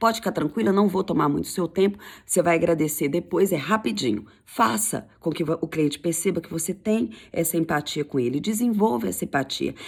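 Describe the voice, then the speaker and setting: Fairly low in pitch, a woman speaks in an animated tone with vocal fry and very wide pitch swings at a fairly quick pace. The recording is very clean, with a silent background. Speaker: sales coach. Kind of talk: tutorial. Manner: fast.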